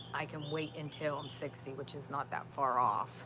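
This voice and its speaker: With music in the background, a woman speaks at a moderate pace in a very deep, low pitch. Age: 50s. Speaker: outdoors vlogger. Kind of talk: casual live-stream chat. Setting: outdoors in backyard. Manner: halting, many fillers.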